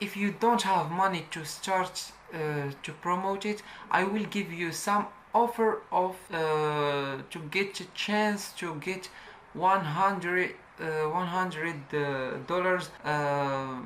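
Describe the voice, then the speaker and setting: Audible room echo follows a woman's fairly low voice as she speaks at a very slow pace with ordinary pitch variation. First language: not English. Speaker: YouTube tutorial creator. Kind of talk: tutorial. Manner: halting.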